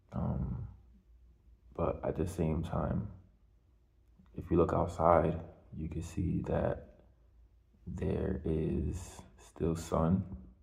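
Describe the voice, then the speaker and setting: Quiet, very slow speech with fairly even intonation, long and frequent pauses, and audible room echo. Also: man, very deep, low pitch for a man. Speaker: video blogger. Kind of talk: casual monologue. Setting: hallway at home at night. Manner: quiet, lowered voice; halting, many fillers.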